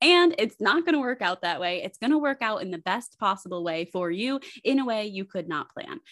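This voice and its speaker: In a dry, close sound with no echo, a woman at medium pitch talks at a fairly quick pace with very wide pitch swings. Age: 20s. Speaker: podcast co-host and basketball coach. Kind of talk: casual chat.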